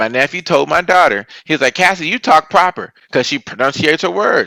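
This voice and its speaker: A fairly high-pitched man with an American accent, bright and sharp in tone, with vocal fry and lively intonation at a fairly quick pace, dry and close with no echo. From California. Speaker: podcast co-host. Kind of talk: heated debate.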